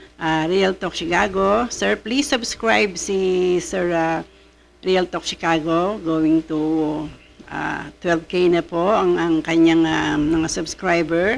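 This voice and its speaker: Noticeable background noise behind a woman's fairly low-pitched voice. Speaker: vlogger reacting to showbiz news. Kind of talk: casual vlog chat. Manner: halting, many fillers.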